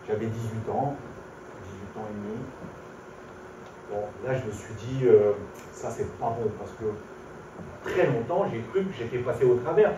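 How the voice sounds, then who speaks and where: Amid audible room echo and noticeable background noise, a man of medium pitch talks at a fairly slow pace with lively intonation, big swings in loudness, and long, frequent pauses. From southern France (Orange, Provence), later Paris. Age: 60s. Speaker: visually impaired speaker giving faith testimony. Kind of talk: testimony. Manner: hesitant, with frequent fillers.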